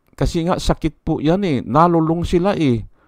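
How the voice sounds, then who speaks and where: A fairly high-pitched male voice at a fairly slow pace, with ordinary pitch variation. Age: 60s. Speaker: vlogger. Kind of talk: political commentary vlog. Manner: halting.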